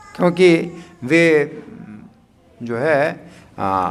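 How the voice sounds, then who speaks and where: There is noticeable background noise and audible room echo as a man talks in a fairly high pitch. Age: 60s. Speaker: spiritual teacher. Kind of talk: religious discourse. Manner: hesitant, with fillers.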